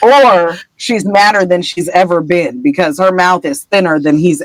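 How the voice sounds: Quiet surroundings and a natural reading voice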